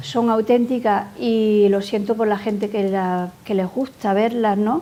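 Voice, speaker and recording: A woman talks at a fairly slow pace. Her tone is dark and mellow, with fairly even intonation. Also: fairly high pitch for a woman. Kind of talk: interview answer.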